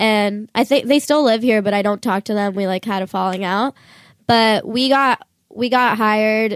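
A woman with an unremarkable speaking voice, fairly high in pitch, talks at a moderate pace with fairly even intonation, the sound dry and close with no echo on a very clean recording with a silent background. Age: 20s. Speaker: musician and internet influencer. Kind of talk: casual interview chat. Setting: studio.

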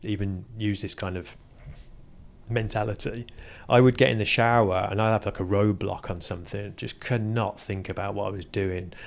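With an English accent, a man speaks at a moderate pace and a fairly low pitch, his intonation fairly even. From England, Burton upon Trent. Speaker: automotive engineer and entrepreneur. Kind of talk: casual interview.

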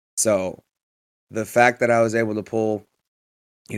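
With a fairly low pitch, a man speaks at a moderate pace. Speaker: hockey podcast co-host and powerlifter. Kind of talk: casual chat. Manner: subdued, somber-sounding.

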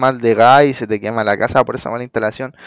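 A man with a Chilean accent, very fast delivery, ordinary pitch variation, and a dry, close sound with no echo. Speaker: electrician. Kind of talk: casual interview. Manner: halting, many repetitions.

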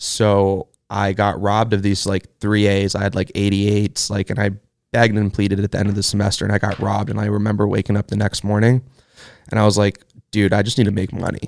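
A man with an American accent talks at a very fast pace. His voice is fairly low in pitch, with monotone, flat intonation. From Los Angeles, US. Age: 20s. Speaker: e-commerce entrepreneur. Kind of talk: casual chat.

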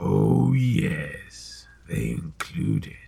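Pitching his voice very deep and low, a man performs a put-on character voice. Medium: audio drama. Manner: measured, cryptic, smoothly ominous.

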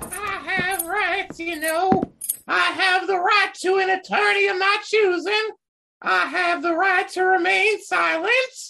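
An extremely high-pitched woman's voice, fairly slow in pace, with fairly even intonation. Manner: haughty, flustered.

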